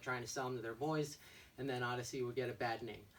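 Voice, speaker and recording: Very fast pace with fairly even intonation. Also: man. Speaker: bike shop owner. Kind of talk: product walkthrough. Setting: shop. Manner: loud; casual.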